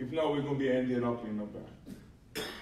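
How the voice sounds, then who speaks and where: Audible room echo surrounds the voice of a man. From Hawaii Island. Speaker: mountain management adviser, former union officer; panelist. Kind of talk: panel discussion. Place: hall. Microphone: camera far.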